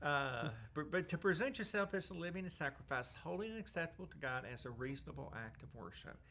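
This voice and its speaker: A man with a fairly high pitch and a bright, sharp tone races along at a very fast pace with hardly any pauses, very wide pitch swings, and vocal fry. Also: big swings in loudness. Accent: Southern US. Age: 60s. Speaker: Salvation Army worker with terminal cancer. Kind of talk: interview testimony. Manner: halting.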